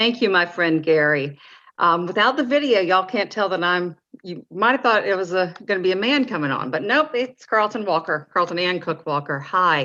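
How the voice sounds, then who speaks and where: This woman has a Southern US accent and a bright, sharp tone. Her intonation is lively, her pace moderate, and the background quiet. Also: medium pitch for a woman. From North Carolina. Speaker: parent advocate. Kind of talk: mock lobbying meeting.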